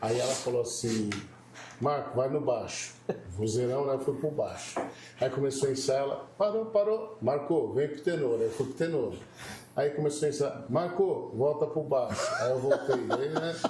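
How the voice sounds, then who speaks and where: Audible room echo surrounds a man's fairly high voice, spoken at a moderate pace with ordinary pitch variation. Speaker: pastor. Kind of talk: casual chat.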